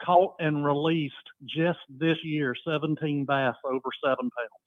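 In a normal speaking voice, a man talks at a fairly high pitch with ordinary pitch variation. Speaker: caller. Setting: phone call.

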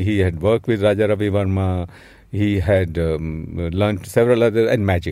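A man talks at a moderate pace in a fairly low pitch with a dark, mellow tone. His loudness stays very even, with ordinary pitch variation. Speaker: film scholar and critic. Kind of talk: interview. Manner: halting.

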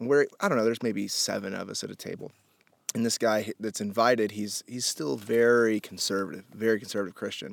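An unremarkable speaking voice with an American accent, fairly quick and fairly even in intonation, in a dry, close sound with no echo. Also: man, medium pitch for a man. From Indianapolis, US Midwest. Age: 30s. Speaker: podcast host. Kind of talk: casual chat. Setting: in person at a rented house in the desert.

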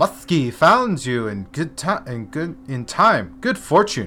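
Over clear music in the background, a man uses a raspy, put-on character voice at a fairly high pitch, speaking very slowly with very wide pitch swings.

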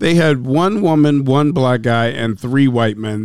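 A man with an ordinary speaking voice and an American accent talks at a moderate pace, his medium pitch carrying lively intonation. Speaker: podcast co-host. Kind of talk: casual banter.

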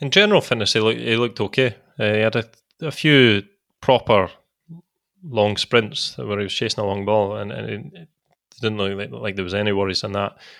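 With a Scottish accent, a man speaks fairly quickly in a fairly low, vocal-fried voice, using ordinary pitch variation, big swings in loudness, and long, frequent pauses. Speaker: former footballer. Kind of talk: casual chat.

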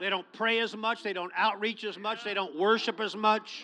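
A man's raised, projected voice, high in pitch and bright and sharp in tone, at a moderate pace with fairly even intonation. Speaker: pastor. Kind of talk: sermon. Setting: church.

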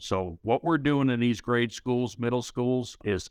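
The speaker is a man with a St. Louis accent. He keeps a moderate pace over a quiet background. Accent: Midwestern American, St. Louis. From US Midwest, St. Louis. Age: 50s. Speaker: union leader, former carpenter. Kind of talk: interview.

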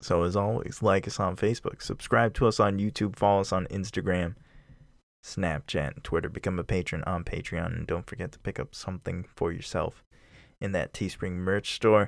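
In a very clean recording with a silent background, a man uses an ordinary speaking voice, fairly low in pitch, at a moderate pace, with ordinary pitch variation. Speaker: podcast host. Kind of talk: casual chat.

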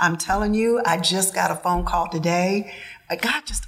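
There is noticeable background noise while this woman talks, her medium pitch showing ordinary variation. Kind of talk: casual chat.

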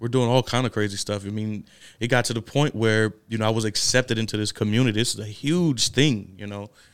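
Intonation stays fairly even as the speaker goes at a very fast pace. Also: man, medium pitch for a man. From New Orleans, Louisiana (Ninth Ward). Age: 20s. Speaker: shelter resident in addiction recovery. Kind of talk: casual interview, personal testimony.

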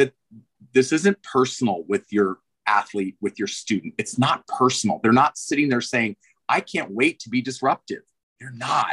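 A man speaks in an ordinary speaking voice at a moderate pace. His intonation is lively, and the sound is dry and close with no echo. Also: medium pitch for a man, big swings in loudness. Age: 50s. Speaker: swim coach and swim school owner. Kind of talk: interview.

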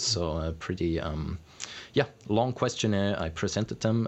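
This is a man talking at a moderate pace. His pitch varies in an ordinary way. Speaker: climate education researcher. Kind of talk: interview.

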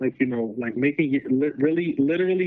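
The pace is fairly quick. A man talks with ordinary pitch variation. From New York, the Bronx. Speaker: PhD student. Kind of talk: casual interview. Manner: halting, repeats words.

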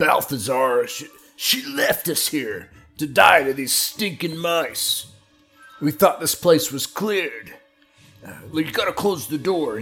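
A put-on character voice moves at a fairly slow pace. Faint music plays in the background. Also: man, fairly high pitch for a man. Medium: actual play. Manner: panicked, blustering.

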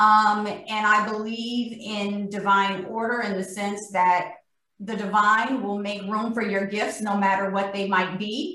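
A woman with an ordinary speaking voice, a medium pitch and fairly even intonation at a fairly slow pace. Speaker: corporate vice president. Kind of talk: panel discussion. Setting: video call.

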